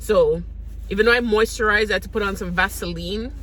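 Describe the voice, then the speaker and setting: A woman speaks over noticeable background noise. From St. Vincent and the Grenadines. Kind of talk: casual talk to camera.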